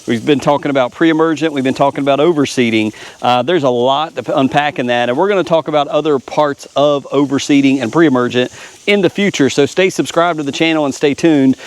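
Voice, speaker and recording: Against noticeable background noise, a man speaks at a very fast pace, fairly high in pitch, with ordinary pitch variation. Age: 40s. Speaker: lawn care YouTuber. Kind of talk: casual vlog talk. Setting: outdoors. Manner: casual, filler-heavy.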